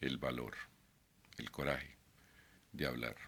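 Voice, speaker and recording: With vocal fry, a man speaks at a fairly slow pace. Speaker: YouTuber, artist. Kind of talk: casual vlog monologue. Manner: halting, many fillers; not a fluent speaker.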